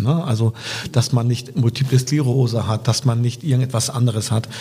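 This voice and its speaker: A normal speaking voice from a man, at a medium pitch and a moderate pace. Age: 50s. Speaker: politician and podcast co-host. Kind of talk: casual interview.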